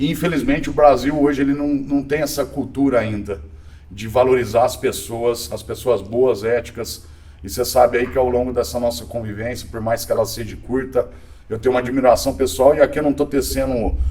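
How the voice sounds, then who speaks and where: A man talks at a fairly quick pace in a medium pitch. Music plays in the background. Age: 40s. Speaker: tech executive. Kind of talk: podcast interview.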